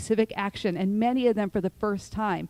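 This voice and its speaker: A woman speaks at a moderate pace in an unremarkable speaking voice, at medium pitch with ordinary pitch variation. The sound is dry and close, with no echo. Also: very clean recording, silent background. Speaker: nonprofit founder and panel speaker. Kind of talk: prepared talk at public forum.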